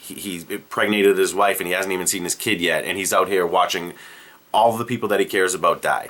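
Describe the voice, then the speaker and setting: A man speaks with a Boston accent. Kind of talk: casual comedic movie pitch to camera.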